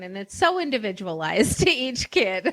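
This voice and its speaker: In an unremarkable speaking voice, a woman talks fairly slowly at a medium pitch on a very clean recording with a silent background. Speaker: podcast host. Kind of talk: interview host talk.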